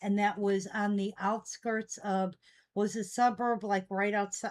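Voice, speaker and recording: A woman with an American accent, medium pitch, an unremarkable speaking voice. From US Midwest, Chicago area. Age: 60s. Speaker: online collectibles seller. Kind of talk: live selling stream chat. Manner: casual, chatty.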